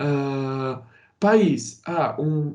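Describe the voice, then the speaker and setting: Here a man speaks with lively intonation. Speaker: teacher. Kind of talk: lecture.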